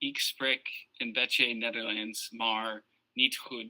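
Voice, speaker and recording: A medium-pitched man with an Ohio accent, at a very slow pace. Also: dry, close sound with no echo. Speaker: podcast guest, fantasy football champion. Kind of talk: casual chat.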